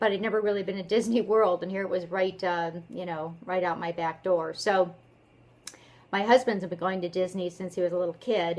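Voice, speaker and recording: A woman's medium-pitched voice, a normal speaking voice, at a fairly quick pace. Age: 50s. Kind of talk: casual talk to camera. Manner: upbeat.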